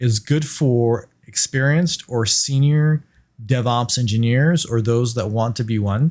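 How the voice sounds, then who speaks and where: The speaker has a non-native accent, moderate pace and ordinary pitch variation. The recording is very clean, with a silent background. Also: man. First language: not English. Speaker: cloud engineer, podcast host. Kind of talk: tutorial.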